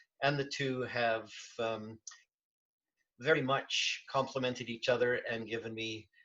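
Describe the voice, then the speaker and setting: This is a normal speaking voice, a man's at medium pitch. He talks at a moderate pace with fairly even intonation. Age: 60s. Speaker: bronze sculptor and diving industry veteran. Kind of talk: casual interview chat.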